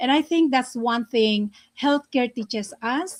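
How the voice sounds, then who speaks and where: This woman talks at a fairly slow pace in a high pitch, her intonation lively. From Philippines, Cagayan Valley. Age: 60s. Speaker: healthcare worker. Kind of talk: panel talk. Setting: livestream. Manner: halting.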